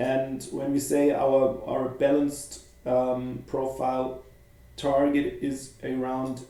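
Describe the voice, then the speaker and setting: With a German accent, a man talks at a medium pitch in a flat, monotone way, and the room echo is audible. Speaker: futures trading educator. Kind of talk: live market commentary. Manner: halting.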